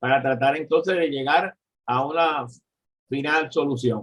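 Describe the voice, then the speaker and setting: A man with a Puerto Rican accent speaks at a fairly slow pace. His pitch sits fairly high. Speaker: economist and professor. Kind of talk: political discussion. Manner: halting.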